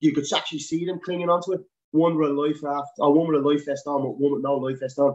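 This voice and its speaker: A man in a Dublin accent at a very fast pace and fairly high pitch. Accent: Dublin Irish. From Dublin, Ireland. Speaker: helicopter winchman and paramedic. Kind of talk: casual interview chat. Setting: video call.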